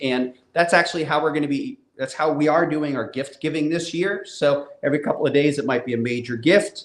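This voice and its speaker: Speaking at a moderate pace, a man uses an unremarkable speaking voice pitched fairly high. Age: 60s. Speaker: comic book publisher and creator. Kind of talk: casual live Q&A chat.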